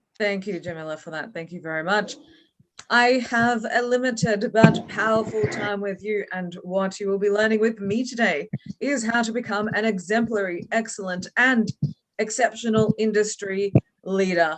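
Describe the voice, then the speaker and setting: A woman with an Australian accent talks at a moderate pace with a fairly high pitch and big swings in loudness. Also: ordinary pitch variation. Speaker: leadership trainer. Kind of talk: online training session. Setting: video call. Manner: energetic.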